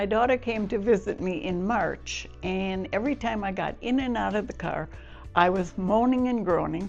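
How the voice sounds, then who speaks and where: A woman speaks at a moderate pace with a medium pitch and ordinary pitch variation. Music plays in the background. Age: 80s+. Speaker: hip replacement patient. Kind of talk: patient testimonial interview answer.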